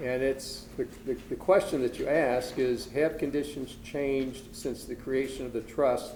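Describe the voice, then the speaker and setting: In a room with audible echo, a man talks at a moderate pace with medium pitch and fairly even intonation. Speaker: estate planning attorney presenter. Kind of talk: lecture. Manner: soft-spoken.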